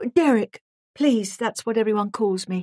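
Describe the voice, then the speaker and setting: A female-sounding voice puts on a character, wheezy and fairly high in pitch. The pace is moderate. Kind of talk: polite, businesslike.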